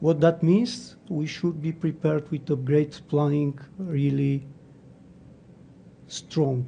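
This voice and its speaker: With long, frequent pauses and a very slow pace, a man speaks in a fairly high pitch, somewhat breathy with a dark, mellow tone and fairly even intonation. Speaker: conference speaker on databases. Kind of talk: technical talk.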